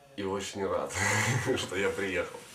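A very slow pace, with audible room echo and light background noise. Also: man. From Kyiv, Ukraine. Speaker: former drug addict, clinic patient. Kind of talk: testimonial to camera. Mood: calm, grateful. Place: office.

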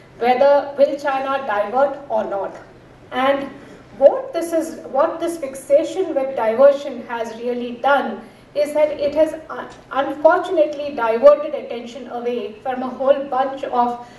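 A woman talks at a fairly slow pace in a high pitch, with fairly even intonation. Room echo is audible. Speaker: speaker. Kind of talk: conference talk. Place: stage. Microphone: podium.

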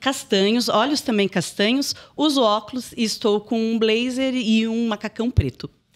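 At a moderate speed, a woman talks with ordinary pitch movement. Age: 40s. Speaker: HR manager; podcast guest. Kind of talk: podcast interview. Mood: cheerful, happy to be there. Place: studio. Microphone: studio mic.

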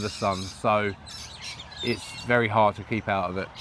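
A man with an English accent at a fairly quick pace, fairly even intonation, a dry sound with no echo, and light background noise. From UK. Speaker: YouTuber. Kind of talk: casual chat. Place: garden. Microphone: lapel.

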